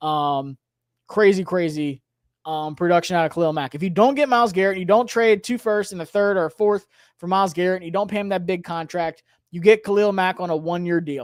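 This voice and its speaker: Recorded very cleanly against a silent background, a man speaks at a high pitch and a fairly quick pace with ordinary pitch variation. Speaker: sports YouTuber, fan channel host. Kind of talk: livestream chat with viewers. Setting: home livestream. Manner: animated, passionate; loud.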